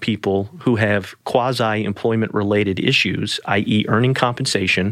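A man with a fairly low pitch speaks at a moderate pace in a plain, everyday voice. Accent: American. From US South, New Orleans. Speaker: attorney. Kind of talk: podcast interview.

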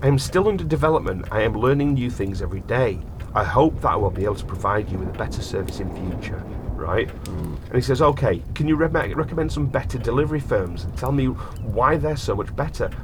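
A man's medium-pitched voice at a fairly quick pace, with very wide pitch swings and noticeable background noise. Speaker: podcast host. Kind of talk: casual chat.

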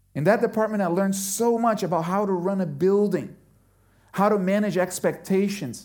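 In a room with audible echo, a man talks at a high pitch. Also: fairly even intonation, moderate pace. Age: 40s. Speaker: pastor. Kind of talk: sermon.

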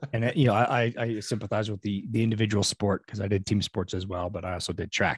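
A man's fairly low, somewhat breathy voice at a very fast pace, with fairly even intonation and a dry, close sound with no echo. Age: 50s. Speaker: podcast host and realtor. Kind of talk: scripted intro; casual interview chat.

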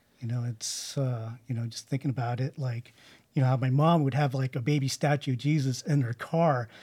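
A man with an American accent speaks at a medium pitch with fairly even intonation. His tone is dark and mellow, and his voice is somewhat breathy. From California, Bay Area (Santa Clara, Sunnyvale). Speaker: churchgoer sharing his story. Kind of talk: interview testimony. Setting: church building recording. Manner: halting, many fillers.

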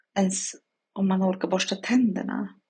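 A woman talks at a fairly slow pace. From Sweden (adopted from Chile). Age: 40s. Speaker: podcast guest sharing burnout experience. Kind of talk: personal monologue testimony. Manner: halting, with many fillers.

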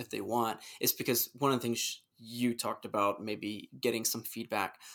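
This man talks at a fairly quick pace. His pitch sits in the medium range. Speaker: podcast host. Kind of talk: casual chat. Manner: monotone at times.

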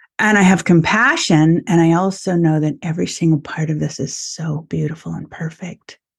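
A woman with a fairly low, somewhat breathy voice speaks at a moderate pace with fairly even intonation and hardly any pauses. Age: 50s. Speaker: osteopathic physician. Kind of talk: casual chat.

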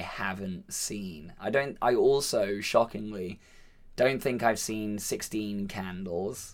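A normal speaking voice from a man, fairly low in pitch, at a fairly slow pace with ordinary pitch variation. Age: 30s. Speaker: film podcast co-host. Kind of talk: casual chat.

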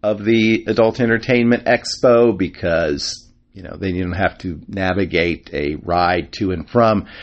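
This man has an ordinary speaking voice, fairly low in pitch with ordinary pitch variation. He speaks at a fairly slow pace, with big swings in loudness. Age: 50s. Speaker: podcast host. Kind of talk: casual monologue.

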